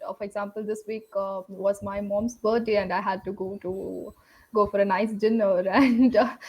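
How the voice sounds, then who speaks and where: In an Indian accent, a woman speaks at a moderate pace with a medium pitch and monotone, flat intonation. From South India, Tamil Nadu. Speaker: English learner, project manager. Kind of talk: casual conversation lesson. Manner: hesitant, many fillers.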